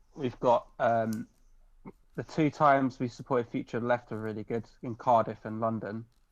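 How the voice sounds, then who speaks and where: Fairly even in intonation, a man speaks at a moderate pace with a medium pitch. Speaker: punk band drummer and singer. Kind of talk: casual interview chat. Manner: loud.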